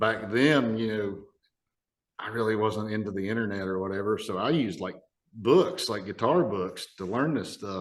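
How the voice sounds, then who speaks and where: In an Appalachian accent, a man talks with a fairly low pitch and ordinary pitch variation. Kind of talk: casual podcast conversation.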